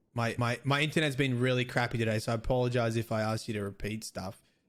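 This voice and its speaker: This man talks very fast in an Australian accent. His pitch sits in the medium range, and his intonation stays fairly even. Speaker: game streamer. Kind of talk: casual interview chat. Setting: live stream, voice call.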